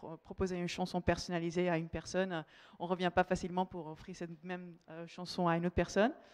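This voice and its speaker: In a fairly low voice, a woman rattles along at a very fast pace with monotone, flat intonation, the sound dry and close with no echo. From Netherlands. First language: Dutch (speaking French). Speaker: marketing manager. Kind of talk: conference talk. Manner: halting, many fillers.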